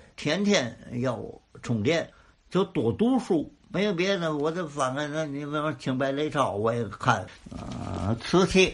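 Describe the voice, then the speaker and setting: Fairly slow speech from a man with a fairly high pitch and very wide pitch swings. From Tianjin. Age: old. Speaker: crosstalk comedian. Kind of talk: interview.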